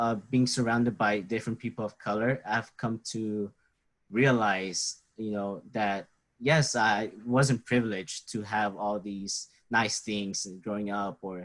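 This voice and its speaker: A man with a Mexican accent talks very slowly at a medium pitch with fairly even intonation, in a very clean recording with a silent background. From Mexico, then Texas from age seven. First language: Spanish. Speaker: university student. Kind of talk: interview. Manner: hesitant, many fillers.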